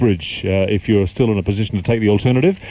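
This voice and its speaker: The man's voice sits fairly low. He talks very fast, with ordinary pitch variation. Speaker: radio DJ. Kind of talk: radio DJ talk and traffic report.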